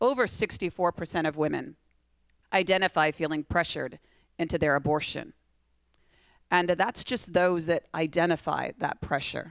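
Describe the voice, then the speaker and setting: Recorded very cleanly with a silent background and a dry, close sound without echo, a woman with an American accent and a fairly low voice speaks at a moderate pace. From Iowa. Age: 40s. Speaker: pro-life speaker, abortion survivor. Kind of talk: keynote speech at a fundraising dinner. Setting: stage with audience at a benefit dinner.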